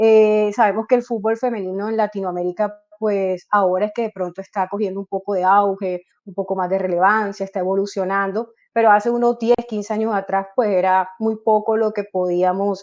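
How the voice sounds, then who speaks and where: The delivery runs at a moderate pace with hardly any pauses and a monotone, flat intonation. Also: woman, medium pitch for a woman. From Colombia, Barranquilla (Caribbean coast). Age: 30s. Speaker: football coach. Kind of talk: interview. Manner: hesitant, frequent fillers.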